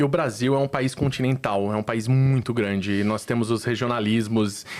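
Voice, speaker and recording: A man in a Recife accent, at a moderate pace and medium pitch, with fairly even intonation and very even loudness. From Brazil, Recife (Northeast). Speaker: startup founder. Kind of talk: interview podcast. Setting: studio.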